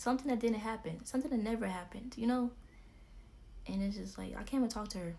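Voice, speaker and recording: A woman's somewhat breathy, fairly high voice with a dark, mellow tone, very fast pace, and fairly even intonation, with audible room echo. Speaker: YouTuber. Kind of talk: storytime vlog.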